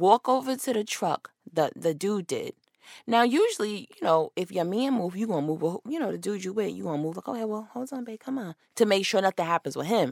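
An animated tone and lively intonation at a fairly quick pace, with dry, close sound and no echo. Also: woman, medium pitch for a woman. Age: 20s. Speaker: podcast host. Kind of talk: solo commentary on celebrity news.

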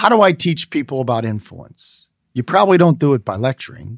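With an American accent, a man speaks at a moderate pace with very wide pitch swings, in a dry, close sound with no echo and a very clean recording over a silent background. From Cleveland, Ohio, US. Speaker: business professor and textbook author. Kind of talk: interview.

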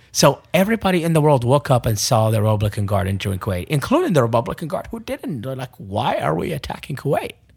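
Very fast, somewhat breathy speech in an Iraqi accent, with very wide pitch swings and hardly any pauses. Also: man, medium pitch for a man. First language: Arabic. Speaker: former spy and interpreter. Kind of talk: interview, storytelling.

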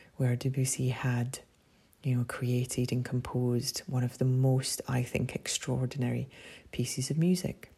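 At a fairly slow pace, a woman with a Scottish accent speaks with a very deep, low pitch and a dark, mellow, somewhat breathy tone, in a very clean recording with a silent background. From Scotland. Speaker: podcast host. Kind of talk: casual monologue. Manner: warm, gentle.

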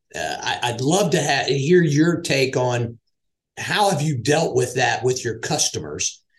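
Using vocal fry, a man speaks at a fairly high pitch and a fairly slow pace. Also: ordinary pitch variation. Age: middle-aged. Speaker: podcast host and sales executive. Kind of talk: casual interview; scripted intro. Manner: halting, with fillers.

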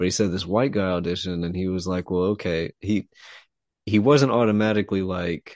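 Against a quiet background, a man speaks in a Texan accent with a very deep, low pitch and fairly even intonation. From Texas. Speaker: fiction writer and podcast host. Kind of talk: casual chat.

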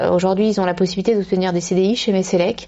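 Noticeable background noise under a woman's voice of medium pitch. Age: 30s. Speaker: company managing director. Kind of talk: interview. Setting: at her company premises.

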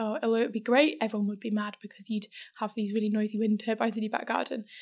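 Her pitch fairly high, a woman talks at a very fast pace with big swings in loudness. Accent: British. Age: 20s. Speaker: electrical engineer. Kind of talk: interview.

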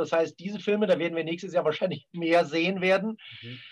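The man's pitch is high and shows ordinary variation. He talks at a fairly quick pace. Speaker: film composer and violinist. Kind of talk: interview.

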